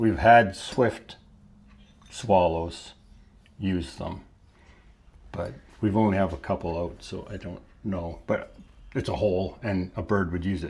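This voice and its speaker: A man's very deep, low voice, somewhat breathy, with ordinary pitch variation, a fairly slow pace, long, frequent pauses and big swings in loudness. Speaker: potter, channel co-host. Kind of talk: casual chat.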